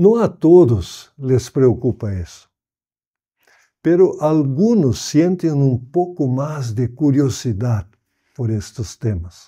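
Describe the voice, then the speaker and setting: In a very clean recording with a silent background, a man with a fairly high, dark, mellow voice speaks at a very slow pace, his pitch swinging very widely. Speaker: pastor and Bible society director. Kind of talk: prepared message.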